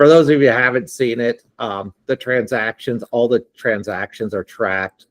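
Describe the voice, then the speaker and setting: An unremarkable speaking voice, a man's, comes at a moderate pace with ordinary pitch variation in a dry, close sound with no echo. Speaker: platform founder demoing software. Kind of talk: live software demo on video call.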